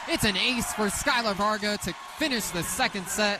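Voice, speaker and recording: Moderate-paced speech from a man, with noticeable background noise. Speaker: play-by-play sports commentator. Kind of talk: radio sports play-by-play.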